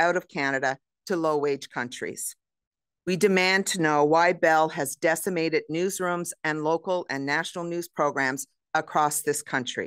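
A woman talks at a moderate pace and a fairly low pitch, her intonation fairly even. The sound is dry with no echo, and the background is quiet. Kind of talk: press conference statement. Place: hall.

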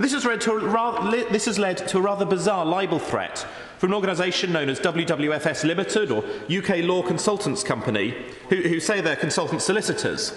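A man with a southern English accent speaks at a fairly quick pace in a high pitch, with audible room echo around him. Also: ordinary pitch variation, very even loudness. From England. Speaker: member of parliament. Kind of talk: parliamentary debate speech addressed to the Deputy Speaker. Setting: parliament chamber. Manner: measured, formal oratory with frequent self-repeating stumbles; earnest, concerned tone when quoting the blogger's worries. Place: hall.

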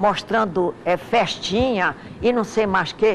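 There is noticeable background noise behind a woman whose voice sits at a medium pitch. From Amazonas, Brazil (Manacapuru, Coari, Manaus). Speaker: lawyer. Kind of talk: interview. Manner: halting.

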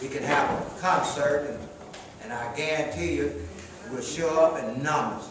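Strong room echo around a man's fairly high pitch, ordinary pitch variation, and fairly slow pace

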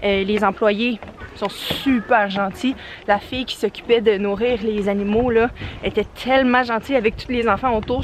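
A woman talks at a moderate pace with fairly even intonation, the sound dry with no echo but with noticeable background noise. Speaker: family vlogger. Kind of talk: casual vlog chat. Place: forest. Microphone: phone near.

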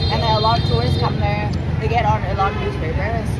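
Fairly quick male speech under loud background noise. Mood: playful, joking. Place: street.

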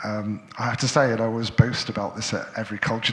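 This man's fairly low voice moves along at a moderate pace. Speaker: event moderator and curator; event moderator. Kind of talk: panel discussion moderation. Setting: stage with live audience. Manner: halting, many filler sounds. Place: hall.

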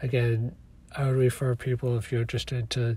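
Somewhat breathy and dark, mellow in tone, the voice moves at a fairly quick pace with monotone, flat intonation. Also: man. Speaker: podcaster and author. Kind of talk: monologue podcast. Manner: reflective, hesitant with fillers.

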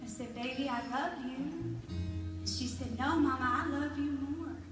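A woman speaks at a fairly slow pace, with audible room echo. Clear music plays in the background. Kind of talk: stage talk, personal story. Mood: warm, heartfelt. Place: church.

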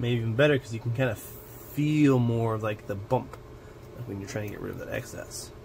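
The man's fairly quick speech carries fairly even intonation, with light noise behind it. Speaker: miniature-painting hobby video creator. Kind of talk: unboxing and build tutorial. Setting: home hobby desk with camera setup. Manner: casual, chatty and self-joking. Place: home room.

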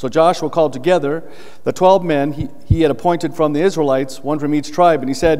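Here a man speaks at a fairly quick pace. His pitch varies in an ordinary way. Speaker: pastor. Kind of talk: scripture reading in a sermon. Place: church.

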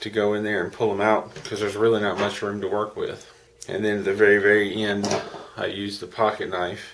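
With flat, monotone intonation, a man with a fairly low pitch speaks at a fairly quick pace over noticeable background noise. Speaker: hobby model builder. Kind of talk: model kit build narration. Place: home room. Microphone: webcam.

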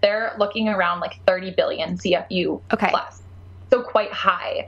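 A woman talks over noticeable background noise. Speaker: podcast guest, pet nutrition advocate. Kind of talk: casual, enthusiastic.

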